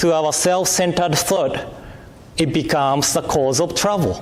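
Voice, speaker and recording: Noticeable background noise and audible room echo surround the recording. The speaker is a man with a high pitch. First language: Japanese. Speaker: minister. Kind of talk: sermon. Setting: temple service.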